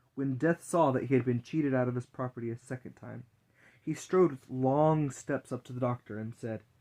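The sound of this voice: Here the speaker uses an unforced reading voice.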